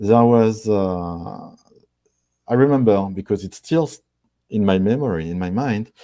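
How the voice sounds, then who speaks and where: With a French accent, a man speaks at a fairly slow pace in a fairly low, dark, mellow voice, with ordinary pitch variation and long, frequent pauses. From France. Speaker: marketing executive. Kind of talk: interview. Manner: halting.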